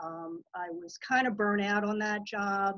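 Against a quiet background, a woman talks at a fairly slow pace, the sound dry with no echo. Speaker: guest. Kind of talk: presentation talk. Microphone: video call.

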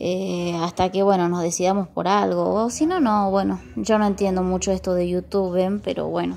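At a moderate pace, a woman speaks with light background noise behind her. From Argentina, Salta; Argentina. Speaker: vlogger. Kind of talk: casual vlog. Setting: at home among plants. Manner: hesitant, many fillers. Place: garden. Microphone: phone near.

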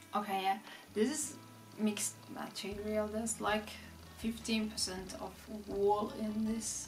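Clear music plays in the background as a woman with a non-native accent speaks at a fairly high pitch, very slowly and in a monotone, flat way. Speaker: fashion vlogger. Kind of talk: casual talk to camera. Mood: enthusiastic. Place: home room.

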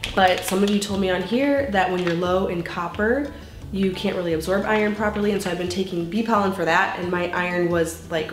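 Noticeable background noise behind a woman's moderately paced voice, its pitch varying in an ordinary way. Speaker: home cooking vlogger. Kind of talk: casual vlog chat with sponsor read. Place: kitchen.

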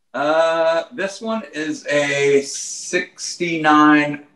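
Against a quiet background, a man speaks at a fairly high pitch with audible room echo. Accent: American. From Texas. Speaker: country musician. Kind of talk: casual chat. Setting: video call. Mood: enthusiastic, relaxed. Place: home room. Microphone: video call.

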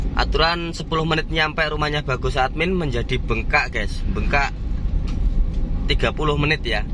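The speech moves at a moderate pace in a dry sound with no echo, over noticeable background noise. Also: man. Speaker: vlogger. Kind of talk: casual vlog chat. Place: car. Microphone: phone near.

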